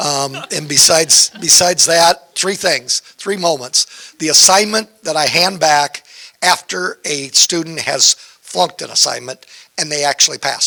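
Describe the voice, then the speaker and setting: The recording is dry and close with no echo, carrying a man's fairly high-pitched, a plain, everyday voice with ordinary pitch variation. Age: 60s. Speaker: community college instructor. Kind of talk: panel discussion.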